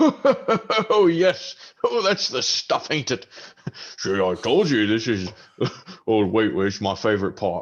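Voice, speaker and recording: A booming put-on character voice from a man, medium in pitch, at a fairly slow pace. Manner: jolly.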